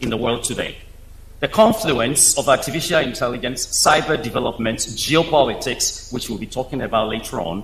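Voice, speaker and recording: A man's fairly high voice moves at a fairly quick pace amid noticeable background noise. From Africa, Nile Valley region. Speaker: space engineer, invited speaker. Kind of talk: keynote speech. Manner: formal.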